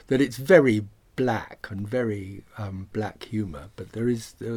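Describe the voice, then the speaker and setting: A somewhat breathy man speaks at a moderate pace, his fairly low pitch showing ordinary variation. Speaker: actor and writer. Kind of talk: interview. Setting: recording studio.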